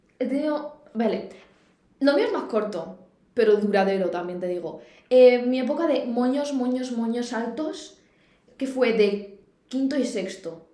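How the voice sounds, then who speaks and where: With a high pitch and lively intonation, a woman speaks at a fairly slow pace. Audible room echo is present. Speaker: podcast co-host. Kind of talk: casual chat. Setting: university room.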